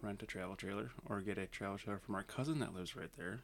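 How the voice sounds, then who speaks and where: Using a plain, everyday voice, a man keeps a fairly quick pace and ordinary pitch variation. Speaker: guest, younger brother of host. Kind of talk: casual banter.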